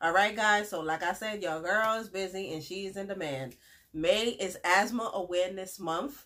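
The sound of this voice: A woman speaks at medium pitch with a fairly bright tone. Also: ordinary pitch variation, moderate pace.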